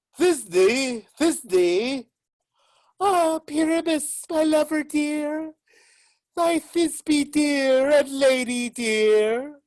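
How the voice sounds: A woman's squeaky, high put-on character voice at a very slow pace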